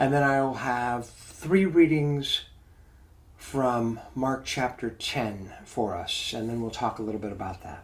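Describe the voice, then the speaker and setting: A man speaks at a fairly slow pace and a medium pitch, with ordinary pitch variation. He has a plain, everyday voice, and his loudness swings widely. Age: 60s. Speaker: pastor leading a Bible study. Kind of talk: mindful Bible study talk. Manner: calm, reflective.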